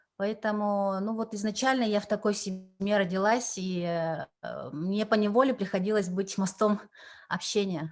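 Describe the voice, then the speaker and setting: With fairly even intonation, the woman's voice stays at a medium pitch. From Yakutia, Russia. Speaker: translator and cultural envoy. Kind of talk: interview. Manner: halting, many fillers.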